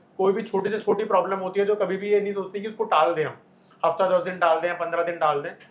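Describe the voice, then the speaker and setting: A man with a high-pitched voice speaks in a fairly even intonation over noticeable background noise. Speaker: dentist. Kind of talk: explanation to camera.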